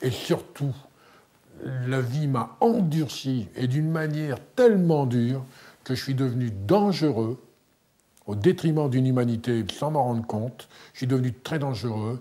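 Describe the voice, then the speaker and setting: The speaker goes at a fairly slow pace with long, frequent pauses and a dark, mellow tone. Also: man, ordinary pitch variation. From northern France. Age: 50s. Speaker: former prisoner and author. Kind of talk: testimony. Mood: grave, confessional. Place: home room.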